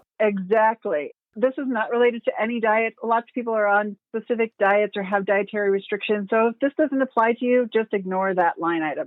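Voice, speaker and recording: A woman talks at a fairly quick pace with hardly any pauses. Her fairly high voice shows ordinary pitch variation. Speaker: meal planning coach. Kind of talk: podcast interview. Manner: fast.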